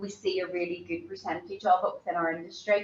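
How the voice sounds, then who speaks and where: A woman is speaking. She has a Belfast accent. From Northern Ireland, East Belfast. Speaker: hospitality professional, keynote speaker. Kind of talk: conference keynote presentation. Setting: conference forum. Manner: informal, conversational.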